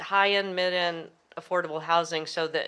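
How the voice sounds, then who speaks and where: A woman speaks with a bright, sharp tone. Her pitch sits fairly low and her intonation stays fairly even. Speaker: city council candidate. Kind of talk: candidate forum answer.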